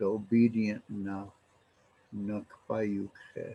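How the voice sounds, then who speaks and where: This man has a dark, mellow tone. He speaks with an American accent. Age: 70s. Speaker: elder and language teacher. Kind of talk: storytelling language lesson. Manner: halting, many fillers.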